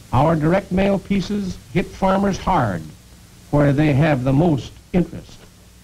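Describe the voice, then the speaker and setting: Noticeable background noise sits behind a man speaking with a high pitch. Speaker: sales executive. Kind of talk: corporate training film narration.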